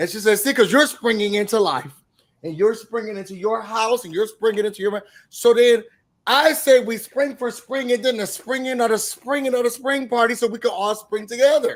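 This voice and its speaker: Here a man talks at a fairly quick pace. His pitch is extremely high, with ordinary pitch variation. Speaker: YouTube TV recap host. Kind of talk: casual recap chat.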